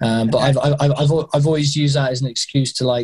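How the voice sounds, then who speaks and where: Somewhat breathy, a man speaks in a British accent. He goes at a fairly quick pace with fairly even intonation. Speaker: skydiving instructor. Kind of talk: interview conversation. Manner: halting, many repeated words and fillers.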